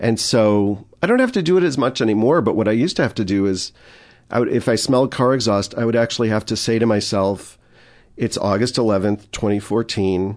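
A man speaks in an ordinary speaking voice with an American accent and a fairly low pitch. His pace is moderate, and the background is quiet. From Chicago area, US Midwest. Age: 40s. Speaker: addiction counselor and former improviser. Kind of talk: casual interview chat.

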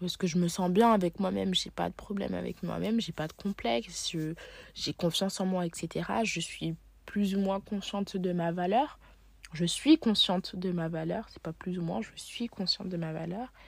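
Somewhat breathy, medium-pitched speech from a woman at a moderate pace. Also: ordinary pitch variation. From Paris, France. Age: 20s. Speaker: journalism student. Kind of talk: personal monologue. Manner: hesitant.

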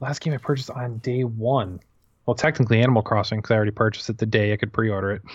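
This man talks at a very fast pace and medium pitch, somewhat breathy, with fairly even intonation against a quiet background. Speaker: gaming podcaster. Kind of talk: casual chat.

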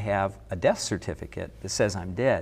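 An ordinary speaking voice from a man, moderate in pace and ordinary in pitch variation. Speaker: associate pastor. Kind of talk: casual chat.

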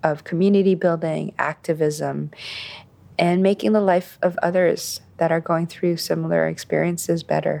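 A woman talks at a moderate pace with very even loudness. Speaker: podcast host reading guest intro. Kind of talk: scripted introduction.

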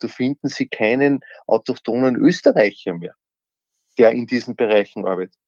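A dark, mellow tone comes through at a moderate pace, with a dry, close sound with no echo and a quiet background. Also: man. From Austria (Upper Austria). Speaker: former politician. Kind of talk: interview.

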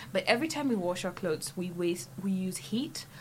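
A woman talks at a fairly quick pace in a fairly low, somewhat breathy voice. Her intonation is lively. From Kenya. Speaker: student activist. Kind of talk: casual chat. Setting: studio.

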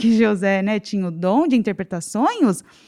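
In an unremarkable speaking voice, a woman talks at a moderate pace with lively intonation and medium pitch on a very clean recording with a silent background. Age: 30s. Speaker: financial consultant. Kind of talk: casual chat.

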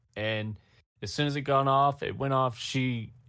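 The speaker has a Californian accent and ordinary pitch variation. The recording is very clean, with a silent background. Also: man. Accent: Californian American. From Los Angeles, US. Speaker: film content creator. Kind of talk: casual chat. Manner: animated.

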